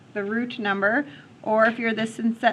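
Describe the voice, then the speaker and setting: A woman's fairly high voice, fairly even in intonation, a plain, everyday voice. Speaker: math teacher. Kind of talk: classroom lecture. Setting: classroom.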